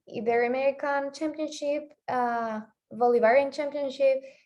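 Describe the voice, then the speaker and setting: A woman speaks with a Spanish accent in a dark, mellow tone against a quiet background. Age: 20s. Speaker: athlete. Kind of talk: interview. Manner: halting.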